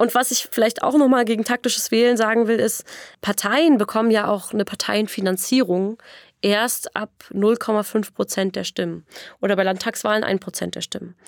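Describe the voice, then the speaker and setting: This is an ordinary speaking voice with fairly even intonation at a moderate pace. The sound is dry and close, with no echo. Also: woman, fairly high pitch for a woman. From Berlin area, Brandenburg. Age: 20s. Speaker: democracy activist, political scientist. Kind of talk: podcast interview. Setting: podcast studio.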